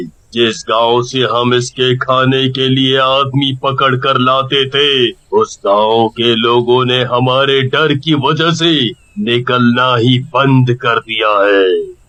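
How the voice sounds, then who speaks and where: A man with a medium pitch puts on a cartoonish character voice. He talks at a very slow pace with hardly any pauses. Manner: menacing, gloating.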